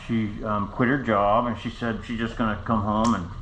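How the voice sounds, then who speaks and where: Moderate-paced speech with audible room echo and noticeable background noise. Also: man. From United States. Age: 60s. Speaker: stroke survivor vlogger. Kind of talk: personal story to camera. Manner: halting; casual.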